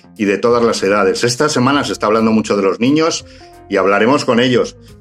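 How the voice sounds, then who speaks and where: Music plays behind a man whose fairly quick delivery has lively intonation. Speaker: interviewer. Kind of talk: online talk show introduction.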